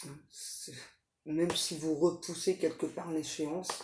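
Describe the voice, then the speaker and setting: The speaker is soft-spoken. The voice is somewhat breathy. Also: woman. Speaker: tarot reader, psychic medium. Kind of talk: tarot reading. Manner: hesitant, many fillers.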